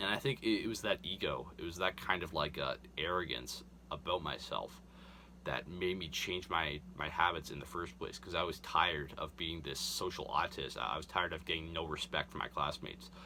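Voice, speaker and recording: At a moderate pace and with ordinary pitch variation, the voice is heard through noticeable background noise. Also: man, very deep, low pitch for a man. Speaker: self-improvement youtuber. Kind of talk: casual monologue. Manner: halting, many fillers.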